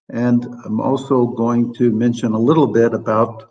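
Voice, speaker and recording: Talking at a fairly slow pace, a man with a Midwestern American accent keeps a medium pitch and fairly even intonation. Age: 70s. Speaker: professor. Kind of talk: lecture.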